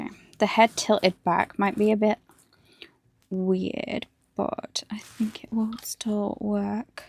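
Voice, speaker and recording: A woman mumbles at a very slow pace in a fairly high voice, with monotone, flat intonation and long, frequent pauses. The sound is dry and close with no echo. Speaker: hobby streamer, miniature painter. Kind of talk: casual livestream chat while building models. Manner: mumbling.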